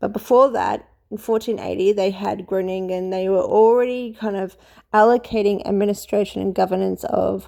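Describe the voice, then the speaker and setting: A woman speaks at a moderate pace in a medium pitch, her tone dark and mellow. Her intonation is monotone and flat, and the background is quiet. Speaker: history commentator. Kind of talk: casual lecture. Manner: hesitant, with fillers.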